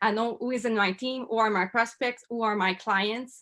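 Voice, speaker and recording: With a Quebec accent, a woman speaks at a fairly high pitch in a bright, sharp tone. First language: French. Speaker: network marketer. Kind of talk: interview testimony. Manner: halting.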